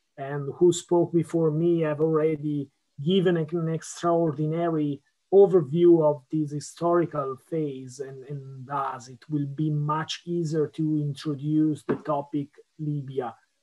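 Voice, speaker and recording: Speaking in an Italian accent at a fairly slow pace, a man uses a fairly high pitch and monotone, flat intonation, while his loudness swings widely. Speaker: policy analyst. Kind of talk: conference talk. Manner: halting.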